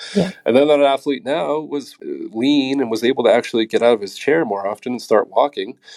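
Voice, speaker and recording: Talking at a fairly quick pace, a man uses a plain, everyday voice with a fairly high pitch and ordinary pitch variation. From New England, Massachusetts. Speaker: strength and conditioning coach. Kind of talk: interview.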